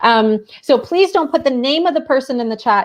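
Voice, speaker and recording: A woman speaks with a Canadian accent and very wide pitch swings. The background is quiet. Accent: Canadian, noticeable. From Ontario, Canada. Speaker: teacher librarian and show co-host. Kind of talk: casual online show chat.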